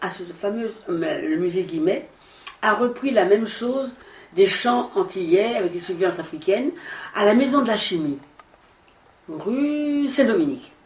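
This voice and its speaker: With very wide pitch swings and a relaxed tone, a woman speaks at a fairly slow pace over noticeable background noise. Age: 80s+. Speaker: actress and singer. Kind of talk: interview answer. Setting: at home. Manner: conversational, relaxed.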